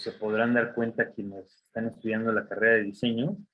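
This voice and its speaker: A man at a medium pitch and a moderate pace. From Mexico. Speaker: design graduate. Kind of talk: talk to students. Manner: casual, many fillers.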